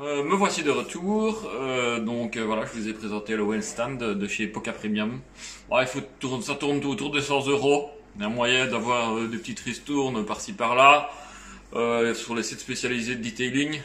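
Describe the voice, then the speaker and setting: A man's medium-pitched voice comes through with noticeable background noise and some audible echo from the room. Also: ordinary pitch variation, moderate pace. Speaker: car detailing youtuber. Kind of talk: product demo tutorial. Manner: hesitant, many fillers.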